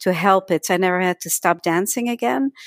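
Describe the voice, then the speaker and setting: Over a silent background in a very clean recording, a woman with a slight Dutch accent talks fairly quickly at medium pitch, the sound dry and close with no echo. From Netherlands. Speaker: energy healing teacher and author. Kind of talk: podcast interview.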